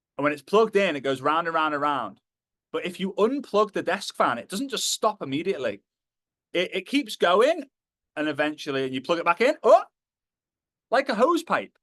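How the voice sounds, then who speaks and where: A man with a Liverpool accent speaks at a fairly quick pace, with long, frequent pauses, very wide pitch swings and big swings in loudness. The sound is dry and close with no echo, over a quiet background. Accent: Liverpool (Scouse) English. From northern England, Liverpool. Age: 30s. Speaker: motivational speaker. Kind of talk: motivational talk.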